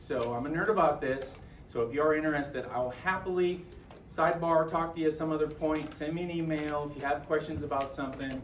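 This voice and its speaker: The speech comes at a very fast pace with fairly even intonation, over noticeable background noise and audible room echo. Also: man, fairly high pitch for a man. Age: 50s. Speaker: JROTC instructor and health coach. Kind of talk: presentation to colleagues. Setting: school talk with live audience. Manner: casual, conversational with fillers.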